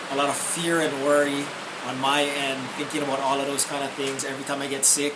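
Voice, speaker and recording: A man talks at a fairly quick pace in a fairly high pitch, with audible room echo and noticeable background noise around him. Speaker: law enforcement officer sharing health testimony. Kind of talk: testimony. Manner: asked to speak up.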